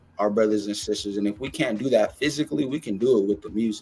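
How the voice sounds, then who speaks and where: A man talks at a very fast pace with a medium pitch. Music plays in the background. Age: young. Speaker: music platform founder. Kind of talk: podcast interview. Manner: animated.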